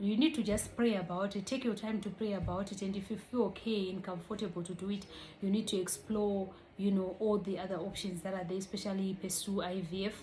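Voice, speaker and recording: Through audible room echo, a woman speaks at a fairly quick pace and medium pitch with fairly even intonation. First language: not English. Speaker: vlogger. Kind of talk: casual vlog explainer.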